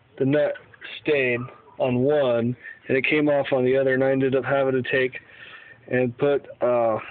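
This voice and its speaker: A man speaks at medium pitch and a moderate pace, his intonation monotone and flat. Long, frequent pauses break up his speech over noticeable background noise. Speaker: home car mechanic. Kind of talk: casual how-to talk to camera. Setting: phone recording, garage.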